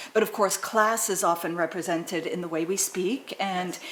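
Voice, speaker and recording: The speaker has an American accent and fairly even intonation at a moderate pace. Noticeable background noise and audible room echo come through. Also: woman. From Southern California. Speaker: academic interviewer. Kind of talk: interview on stage.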